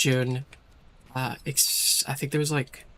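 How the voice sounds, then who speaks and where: This man's voice is somewhat breathy. It sits fairly high in pitch. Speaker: vtuber streamer. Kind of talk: casual gaming stream chat. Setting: live stream with Discord. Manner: casual, halting with fillers.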